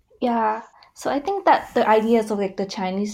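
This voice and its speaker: A woman speaks with a Vietnamese accent at a moderate pace, her pitch fairly high and her intonation fairly even. Her tone is dark and mellow, and the recording is very clean with a silent background. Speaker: graduate student. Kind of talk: casual chat.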